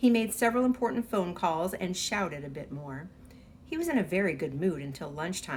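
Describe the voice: Someone is doing plain reading aloud. Their intonation stays lively.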